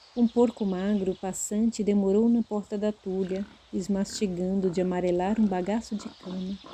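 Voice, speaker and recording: Speaking at a fairly slow pace, a woman has a medium-pitched voice that is somewhat breathy, with a dark, mellow tone. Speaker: audiobook narrator. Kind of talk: literary audiobook narration. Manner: expressive, character-differentiating.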